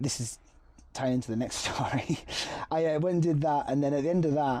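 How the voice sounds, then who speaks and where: The speaker has a Cumbrian accent and a dark, mellow tone. The delivery is fairly quick, with very even loudness and fairly even intonation. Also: man, fairly high pitch for a man. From Appleby, Cumbria, England. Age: 30s. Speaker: model, actor and singer. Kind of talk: interview answer.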